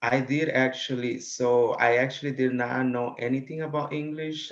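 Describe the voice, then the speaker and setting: Speaking in a Spanish accent, a man uses a medium pitch and fairly even intonation. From Guatemala. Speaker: college student. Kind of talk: interview. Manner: hesitant, many fillers.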